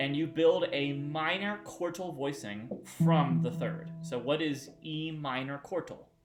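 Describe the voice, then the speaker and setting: Ordinary pitch variation comes through with audible room echo and music in the background. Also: man, fairly high pitch for a man. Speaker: music teacher. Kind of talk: tutorial. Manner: fast.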